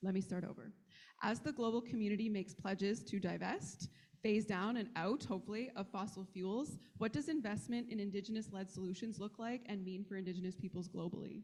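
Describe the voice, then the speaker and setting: A woman talks at a fairly quick pace with ordinary pitch variation. Her voice is somewhat breathy. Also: medium pitch for a woman. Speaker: panel moderator. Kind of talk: panel discussion. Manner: fast.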